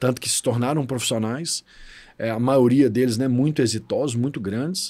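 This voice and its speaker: On a very clean recording with a silent background, a man with an unremarkable speaking voice talks at a moderate pace and medium pitch, with fairly even intonation. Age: 40s. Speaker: financial education specialist. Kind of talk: podcast interview.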